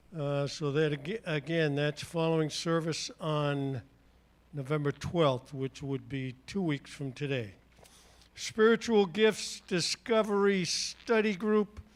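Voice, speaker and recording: With a slight New England accent, a man speaks very slowly at a fairly high pitch, his intonation lively. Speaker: church announcer. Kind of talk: church announcements. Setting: church.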